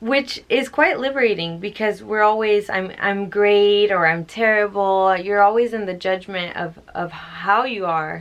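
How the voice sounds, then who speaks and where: A woman with an ordinary speaking voice talks at a medium pitch and ordinary pitch variation. Her pace is fairly slow, with hardly any pauses. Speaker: spiritual book reader and commentator. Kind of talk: book reading with casual commentary.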